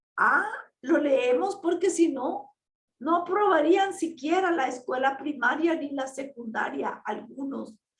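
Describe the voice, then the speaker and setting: Very slowly, a woman speaks with a high pitch and lively intonation. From Nicaragua. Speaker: ex-Jehovah's Witness activist vlogger. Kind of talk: personal testimony monologue. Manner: slow, deliberate pacing.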